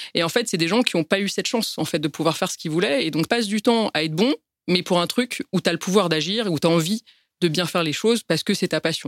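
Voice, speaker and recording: Talking at a very fast pace, a woman with a fairly low pitch and ordinary pitch variation comes through a very clean recording with a silent background and a dry, close sound with no echo. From France, Paris. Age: 30s. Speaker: business executive. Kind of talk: testimony. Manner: halting.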